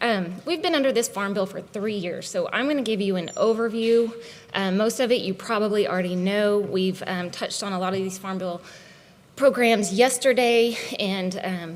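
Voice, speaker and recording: Over noticeable background noise and audible room echo, a woman speaks at medium pitch and a moderate pace with ordinary pitch variation. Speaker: conservation agency leader. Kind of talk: conference presentation. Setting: conference stage with audience. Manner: animated.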